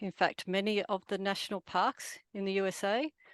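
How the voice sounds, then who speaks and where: Speaking in a medium pitch with an Australian accent, a woman is heard in a dry, close sound with no echo against a quiet background. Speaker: photographer. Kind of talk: presentation.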